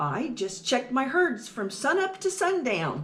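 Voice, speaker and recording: A woman does a put-on character voice. It is high-pitched, with very wide pitch swings. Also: moderate pace. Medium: read story. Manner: plain, laid-back.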